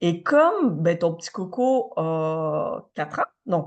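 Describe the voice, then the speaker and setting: A woman's fairly low voice, very slow in pace, with lively intonation. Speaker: podcast co-host, psychology/wellness. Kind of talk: casual chat.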